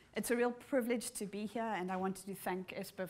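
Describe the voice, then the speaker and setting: A woman with a South African accent at a fairly quick pace, on a very clean recording with a silent background. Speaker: ecosystem services researcher, keynote speaker. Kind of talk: conference keynote lecture. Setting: conference hall with audience, live streamed.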